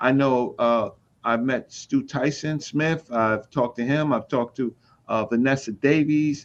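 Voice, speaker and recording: The speech runs at a fairly slow pace with very even loudness. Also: man, medium pitch for a man. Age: 60s. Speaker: community scholar. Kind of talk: casual chat. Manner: animated.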